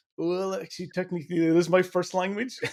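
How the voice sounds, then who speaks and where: Speaking at a fairly quick pace, a man uses a high pitch with a dark, mellow tone. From Northern Ireland, Belfast. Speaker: podcast host, security expert. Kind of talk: podcast interview.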